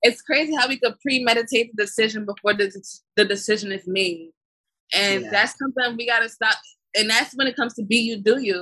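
With an American accent, a woman talks at a fairly quick pace in a fairly high voice with a bright, sharp tone and ordinary pitch variation. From Brooklyn, New York. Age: 20s. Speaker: film production company founder. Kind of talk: interview. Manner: halting.

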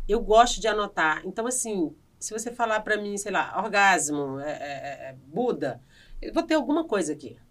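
A woman speaks in a strong northeastern Brazilian accent at a medium pitch. Her pace is moderate and her pitch swings very widely. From Brazilian Northeast, Piauí. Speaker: comedian and actress. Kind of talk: casual interview chat. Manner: animated.

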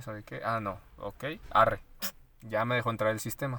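In a Mexican accent, a man speaks at a medium pitch with a bright, sharp tone. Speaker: podcast co-host. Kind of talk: casual chat.

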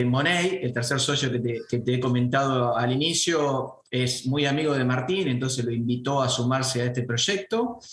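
Speaking with a Santa Fe accent and hardly any pauses, a man keeps a medium pitch with ordinary pitch variation and very even loudness, amid audible room echo and noticeable background noise. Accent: Argentine Spanish (rioplatense, Santa Fe). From Argentina, Venado Tuerto (Santa Fe). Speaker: franchise business owner. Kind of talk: interview. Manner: halting, many fillers and repetitions.

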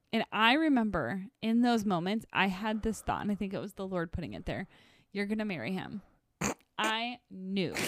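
Medium-pitched, a woman with an American accent speaks at a moderate pace with ordinary pitch variation. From northern Wisconsin, US. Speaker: podcast co-host, ministry worker. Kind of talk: casual chat.

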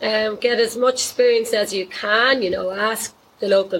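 Noticeable background noise surrounds a woman speaking with a Dublin accent. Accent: Irish (Dublin). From Dublin, Ireland. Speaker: horse riding instructor and equine therapy business owner. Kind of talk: casual interview chat.

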